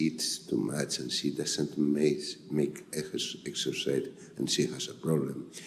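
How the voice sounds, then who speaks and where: A man speaks at a fairly slow pace. Noticeable background noise and audible room echo surround his voice. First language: Spanish. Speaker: physician. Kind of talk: conference talk. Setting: stage with audience. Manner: halting.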